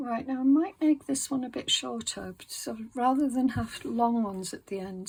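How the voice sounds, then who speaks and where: A woman in a relaxed tone, very clean recording, silent background. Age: 60s. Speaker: craft video creator. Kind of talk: casual craft tutorial narration. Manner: halting, many fillers; relaxed, slow.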